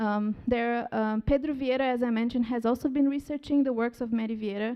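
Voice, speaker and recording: This woman's voice sits fairly high. She moves at a moderate pace with ordinary pitch variation. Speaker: symposium speaker. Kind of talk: conference talk. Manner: halting.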